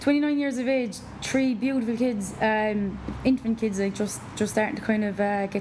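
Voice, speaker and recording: Noticeable background noise sits behind a woman with an Irish accent and a fairly high pitch. She speaks at a moderate pace with fairly even intonation and very even loudness. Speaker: personal trainer. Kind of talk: casual chat interview.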